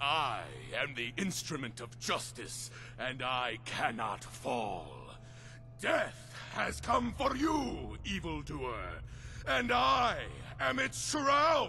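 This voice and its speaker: Shouting in a put-on character voice, a man at a very slow pace over clear background noise. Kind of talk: dramatic, archaic-sounding. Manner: theatrical, grandiose.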